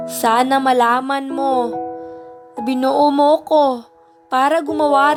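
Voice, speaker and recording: Music plays in the background as a woman speaks at a fairly slow pace. Her pitch is high and her intonation fairly even. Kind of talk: spoken word poetry.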